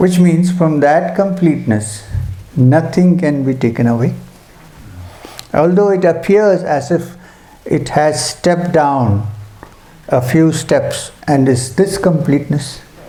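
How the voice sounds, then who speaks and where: A soft-spoken man's fairly high voice, with ordinary pitch variation, very even loudness, a fairly slow pace, long, frequent pauses, audible room echo, and noticeable background noise. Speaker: spiritual teacher. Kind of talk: spiritual talk at a retreat.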